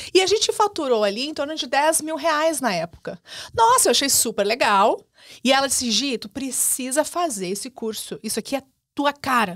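Her pitch high, a woman speaks at a moderate pace with very wide pitch swings against a quiet background. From southern Brazil. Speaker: business mentor and digital entrepreneur; podcast guest. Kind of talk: podcast interview. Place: studio. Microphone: studio mic.

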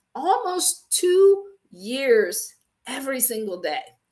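Her pitch swinging very widely, a woman with an American accent speaks at a very slow pace. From Ohio, US Midwest. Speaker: faith-based business coach. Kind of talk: live-stream teaching. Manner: casual, animated.

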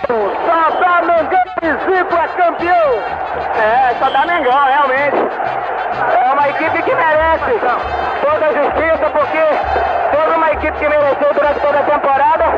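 Delivered at a moderate pace, the speech breaks up with long, frequent pauses over loud background noise. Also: man. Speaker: football goalkeeper. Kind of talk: post-match interview answer. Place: stadium. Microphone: handheld.

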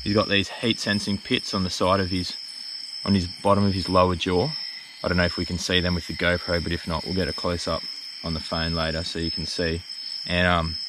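Fairly quickly, a man speaks with a dry sound and no echo. Background noise is noticeable. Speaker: presenter. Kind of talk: casual educational explanation. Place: forest. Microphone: phone near.

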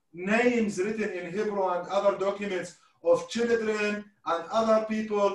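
A man with an Arabic accent speaks at a high pitch and a fairly slow pace, his intonation fairly even, against a quiet background with audible room echo. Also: long, frequent pauses. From Iraq (Mosul); Iraq. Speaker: historian and event host; event host. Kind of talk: online panel discussion. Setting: video call. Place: home room.

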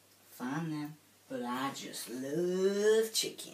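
Someone performs a put-on character voice at a middle pitch. The pace is very slow. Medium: comedy sketch. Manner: repetitive, fixated.

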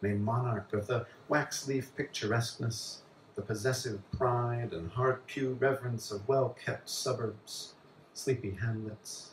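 A somewhat breathy man with an American accent, fairly slow pace and ordinary pitch variation, with audible room echo and light background noise. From US Southwest. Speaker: poet. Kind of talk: poetry reading. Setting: bar with live audience. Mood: calm, measured delivery. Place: bar.

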